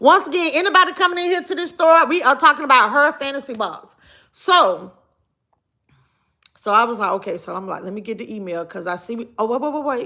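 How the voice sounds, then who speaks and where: In a raised, projected voice, a woman speaks at a fairly quick pace with an animated tone, a high pitch, very wide pitch swings and big swings in loudness. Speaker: live streamer. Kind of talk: casual chat.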